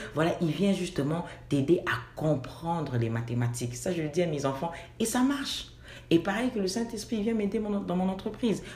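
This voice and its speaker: There is audible room echo around this woman's fairly low voice. She keeps a moderate pace while her pitch swings very widely. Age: 40s. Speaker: assistant pastor and fashion designer. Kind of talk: interview.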